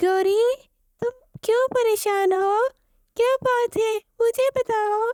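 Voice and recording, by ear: In a cartoonish character voice, a woman squeaks at an extremely high pitch with very even loudness, fairly even intonation, a fairly slow pace and long, frequent pauses.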